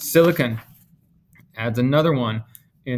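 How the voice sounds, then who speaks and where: Speaking fairly slowly, a man has an ordinary speaking voice at a medium pitch. His pitch variation is ordinary. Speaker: chemistry teacher. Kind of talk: lecture. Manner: casual.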